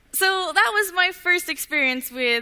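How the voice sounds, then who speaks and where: A woman with a Canadian accent speaks at a fairly slow pace. Her voice is raised and projected, with a bright, sharp tone. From Canada, Vancouver Island. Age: young, 18. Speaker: inventor, student speaker. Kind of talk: talk to an audience.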